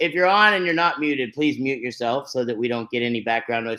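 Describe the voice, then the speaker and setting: Loud and animated, a man speaks at a very fast pace with an American accent, a bright, sharp tone, and lively intonation. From Texas, Fort Worth. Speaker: network marketing host. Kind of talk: online webinar presentation.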